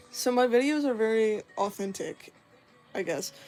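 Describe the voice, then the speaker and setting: Music plays in the background. A woman speaks with a fairly high pitch. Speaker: streamer. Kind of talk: casual chat.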